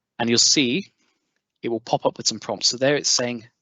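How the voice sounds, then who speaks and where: Here a man speaks with an English accent. His pitch is medium and his pace moderate. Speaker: edtech trainer. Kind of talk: webinar tutorial. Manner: filler-heavy, ums and uhs; barely monotone.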